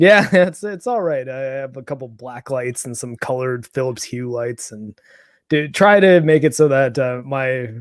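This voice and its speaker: On a very clean recording with a silent background, a man with a Canadian accent speaks in a normal speaking voice at a moderate pace, his pitch medium and his loudness swinging widely. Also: ordinary pitch variation. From Canada, Toronto. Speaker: gaming YouTuber. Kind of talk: casual chat.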